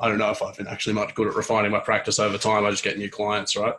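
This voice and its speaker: In a put-on character voice, a man rasps his lines at a very fast pace. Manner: deadpan.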